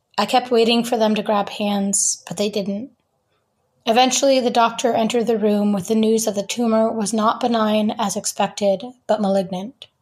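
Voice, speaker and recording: In a very clean recording with a silent background, a woman with an American accent speaks at a moderate pace, somewhat breathy and fairly high-pitched, in a monotone, flat intonation. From US Northeast (rural Vermont). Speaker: writer and photographer. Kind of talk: reading aloud; interview.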